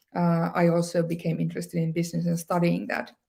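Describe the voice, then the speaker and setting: A woman with a Northern Scandinavian accent. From Sámi area, northern Finland. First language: Northern Sami. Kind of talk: talk to an online audience. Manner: many fillers, some hesitation.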